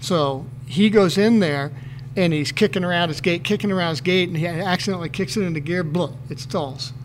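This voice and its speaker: A man with a high voice talks at a fairly quick pace over noticeable background noise. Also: ordinary pitch variation. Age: 50s. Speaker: retired motocross racer. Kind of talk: casual chat.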